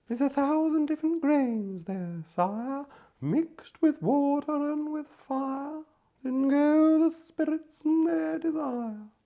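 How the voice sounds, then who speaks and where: Someone speaks fairly slowly in a put-on character voice pitched high. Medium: read story.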